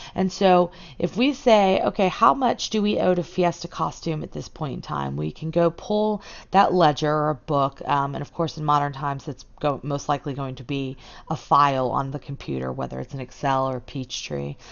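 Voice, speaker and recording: Her pitch very deep and low, a woman talks at a moderate pace, and her pitch varies in an ordinary way. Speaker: high school accounting teacher. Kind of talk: lecture. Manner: informal, steady explaining with fillers.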